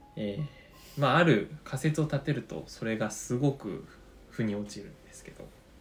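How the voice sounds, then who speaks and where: Speech comes at a moderate pace. Music plays in the background. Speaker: podcast host, amateur orchestra member. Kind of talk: casual chat. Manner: polite, formal-leaning.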